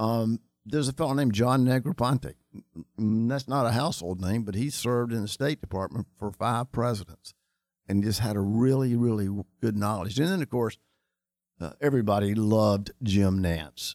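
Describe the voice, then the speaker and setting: Recorded very cleanly against a silent background, with a dry, close sound and no echo, a man with a North Carolina accent speaks at a moderate pace in a medium pitch with ordinary pitch variation. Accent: Southern US (North Carolina). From US South, Charlotte, North Carolina. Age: 60s. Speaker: insurance agency owner. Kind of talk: interview.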